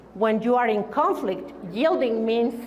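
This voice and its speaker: Amid noticeable background noise and audible room echo, a woman speaks at a high pitch with a Spanish accent. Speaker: keynote speaker. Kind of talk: keynote speech. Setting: stage with audience.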